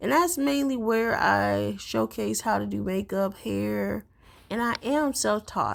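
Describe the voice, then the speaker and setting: The pace of this woman's speech is very slow. It's a very clean recording with a silent background. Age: 30s. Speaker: wig maker and cosplay video creator. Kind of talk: tutorial voiceover. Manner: casual, chatty.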